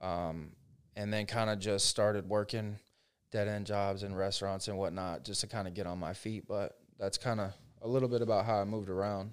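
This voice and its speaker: A man with an American accent and a plain, everyday voice speaks at a moderate pace in a fairly low pitch, on a very clean recording with a silent background. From Central Florida. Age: 20s. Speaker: real estate agent. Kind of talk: casual interview.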